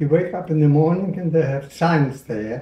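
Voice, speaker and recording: A man with a fairly high pitch and a dark, mellow tone speaks at a fairly slow pace with ordinary pitch variation, with audible room echo around him. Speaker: Holocaust survivor. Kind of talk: interview answer. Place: kitchen.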